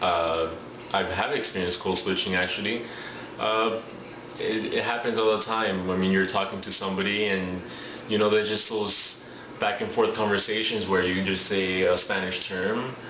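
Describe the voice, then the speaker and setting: A man with a Miami accent talks at a moderate pace in a fairly low pitch, his intonation monotone and flat. Noticeable background noise and audible room echo surround him. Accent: Miami American English. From Miami, Florida. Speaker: interviewee. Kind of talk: street interview.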